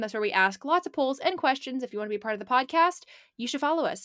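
Using an American accent, a woman with a high pitch and a bright, sharp, animated tone speaks in a raised, projected voice with lively intonation, on a very clean recording with a silent background. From Portland, Oregon. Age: 20s. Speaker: podcast co-host. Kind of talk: casual chat.

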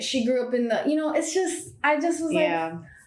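A woman's lively intonation carries through audible room echo. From Miami. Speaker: actress and comedian. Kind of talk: casual chat.

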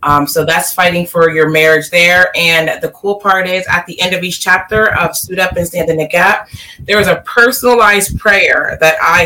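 A woman's fairly low voice at a moderate pace with ordinary pitch variation, amid noticeable background noise. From Delaware. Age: young. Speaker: life coach and author. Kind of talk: interview. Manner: halting, many fillers.

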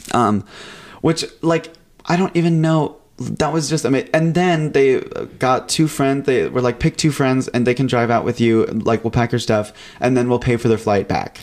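Music plays behind a man with an American accent who speaks at medium pitch with ordinary pitch variation and very even loudness. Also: moderate pace. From California. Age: 20s. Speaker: recent college graduate. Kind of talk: casual chat. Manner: animated.

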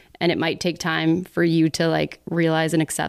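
On a very clean recording with a silent background, a woman with an American accent speaks at a fairly slow pace, her fairly low voice showing vocal fry. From Texas, Dallas. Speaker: YouTuber and director. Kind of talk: casual chat.

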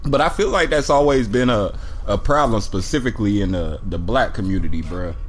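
Over audible room echo, a man at medium pitch talks at a fairly quick pace, his pitch swinging very widely. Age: 30s. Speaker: podcast host. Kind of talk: casual chat. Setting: in person with friends. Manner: casual, with frequent fillers.

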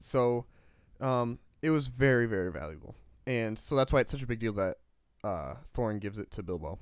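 A man with a Midwestern US accent speaks at a medium pitch with lively intonation, leaving long, frequent pauses. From US Midwest. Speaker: podcast co-host. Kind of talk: casual chat, podcast discussion.

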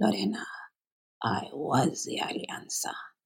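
Using a put-on character voice, a man speaks raspily at a fairly slow pace with a fairly high pitch. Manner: solemn.

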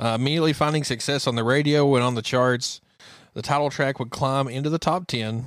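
A man speaks in a normal speaking voice at medium pitch, on a very clean recording with a silent background. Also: fairly even intonation, fairly quick pace. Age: 30s. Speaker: country music podcast co-host. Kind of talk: casual chat.

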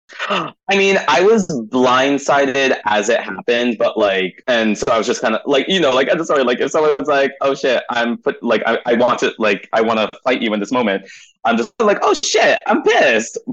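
A man speaks at a moderate pace with hardly any pauses and very even loudness. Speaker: drag performer. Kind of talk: interview. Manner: casual, filler-heavy.

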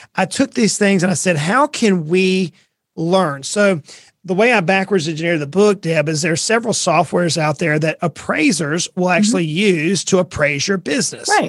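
On a very clean recording with a silent background, a high-pitched man with a Southern US accent talks at a moderate pace with ordinary pitch variation. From US South, coastal Georgia. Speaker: financial advisor and author. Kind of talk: podcast interview.

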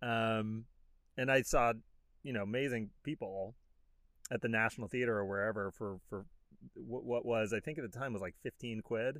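Long, frequent pauses from a man at a moderate pace. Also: medium pitch for a man. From born in London, lives in Los Angeles. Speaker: podcast host, actor and comedian. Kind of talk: casual interview chat. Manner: chatty, animated.

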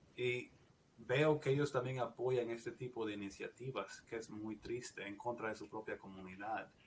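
With ordinary pitch variation, a man's voice comes out somewhat breathy. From Guatemala. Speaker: nurse practitioner. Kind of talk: interview, personal story.

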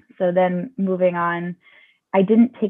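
A woman with an American accent has a plain, everyday voice at medium pitch. She keeps a moderate pace with fairly even intonation. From US South, Georgia. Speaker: yoga instructor and Montessori teacher. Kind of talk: casual interview.

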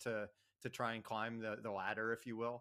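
A man with an American accent at a fairly quick pace. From New Jersey. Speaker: financial planner and author. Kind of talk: interview. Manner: casual with frequent fillers.

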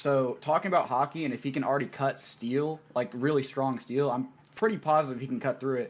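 An unremarkable speaking voice from a man, fairly high in pitch, at a moderate pace with ordinary pitch variation. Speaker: caller debating. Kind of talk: casual debate.

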